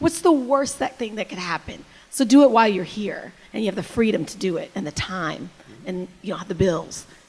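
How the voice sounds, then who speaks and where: Speaking at a fairly quick pace, a woman's somewhat breathy voice has very wide pitch swings and big swings in loudness. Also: fairly high pitch for a woman. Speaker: TV news anchor. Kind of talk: panel discussion. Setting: stage with audience. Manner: fast.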